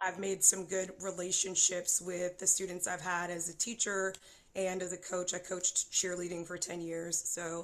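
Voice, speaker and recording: In an American accent, a woman at a medium pitch speaks with monotone, flat intonation. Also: moderate pace. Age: 40s. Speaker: singer-songwriter and high school teacher. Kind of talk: interview chat at live show.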